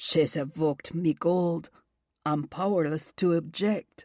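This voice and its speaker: A woman's put-on character voice, drawling at a fairly slow pace, fairly low-pitched, with fairly even intonation. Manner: sinister.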